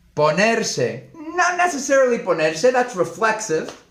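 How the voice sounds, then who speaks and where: A man talks at a fairly slow pace in an animated tone. Room echo is audible. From Spain, Madrid. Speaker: Spanish teacher. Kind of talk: live-stream language lesson. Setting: live stream.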